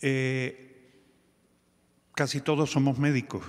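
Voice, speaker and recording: Speaking at a fairly slow pace, a man has a fairly high pitch. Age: 60s. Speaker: physician, telemedicine organization director. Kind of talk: conference talk. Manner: halting.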